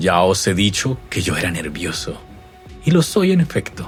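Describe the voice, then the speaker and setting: A man speaks in a dramatic tone at a fairly slow pace. Music plays in the background. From Colombia. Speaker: narrator. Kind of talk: horror story reading. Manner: dramatic, rhythmic.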